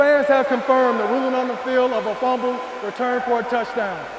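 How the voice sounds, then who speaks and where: A man talking at a fairly quick pace over noticeable background noise. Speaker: announcer for rock paper scissors. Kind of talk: hyped announcer intro; official ruling announcement. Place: stadium. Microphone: lapel.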